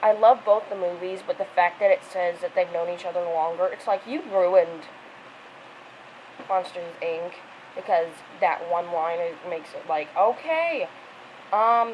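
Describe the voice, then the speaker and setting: Fairly slow, fairly even speech with long, frequent pauses over noticeable background noise. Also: woman, medium pitch for a woman. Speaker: video blogger. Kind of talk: casual monologue.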